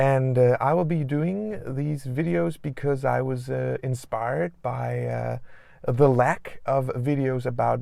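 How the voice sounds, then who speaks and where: Someone with a slight Danish accent speaks at a very slow pace over noticeable background noise. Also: man. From Denmark. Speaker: doctor and video blogger. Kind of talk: casual vlog talk. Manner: halting, many fillers.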